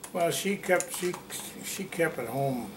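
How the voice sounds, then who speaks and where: Noticeable background noise runs beneath a man speaking with an American accent. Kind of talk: oral history interview answer.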